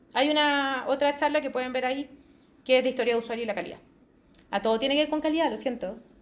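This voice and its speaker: At a very fast pace yet with long, frequent pauses, a woman speaks in an animated tone at high pitch, in a very clean recording with a silent background. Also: ordinary pitch variation. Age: 40s. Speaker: quality assurance specialist. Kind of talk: conference talk.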